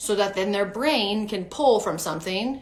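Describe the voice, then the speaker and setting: With an animated tone and audible room echo, a woman speaks at medium pitch with ordinary pitch variation. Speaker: preschool teacher and teacher coach. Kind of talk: live-streamed talk. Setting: live stream.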